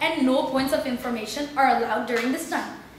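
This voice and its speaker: A woman speaks in a high pitch. Audible room echo and noticeable background noise surround her. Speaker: debate chair. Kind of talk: formal announcement of rules. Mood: playful, formal. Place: classroom. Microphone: camera far.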